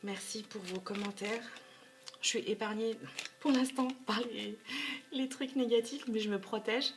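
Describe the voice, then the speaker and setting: With a fairly high pitch and fairly even intonation, a woman speaks at a fairly slow pace. Her long, frequent pauses sit over noticeable background noise. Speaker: tarot card reader. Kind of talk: tarot reading video. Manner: hesitant, with repeated words.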